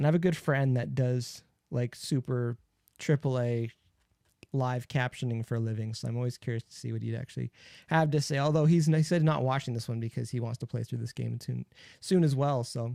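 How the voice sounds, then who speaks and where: Soft-spoken and mumbling, a man at medium pitch talks at a fairly quick pace in a dark, mellow tone with ordinary pitch variation, the sound dry and close with no echo. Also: very clean recording, silent background. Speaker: gaming streamer. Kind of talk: live stream gameplay commentary. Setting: home streaming setup.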